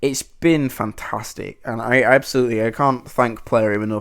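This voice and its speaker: A man speaks at a medium pitch. His intonation is monotone and flat. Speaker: gaming YouTuber. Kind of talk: casual gameplay commentary. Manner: fast; halting, many fillers and repeats.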